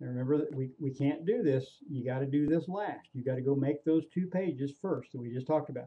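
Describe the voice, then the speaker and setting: A man talks at a fairly quick pace with hardly any pauses, his voice somewhat breathy. His pitch is fairly high and varies in an ordinary way. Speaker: online marketing trainer. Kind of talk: screen-recorded tutorial. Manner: casual, repetitive with fillers.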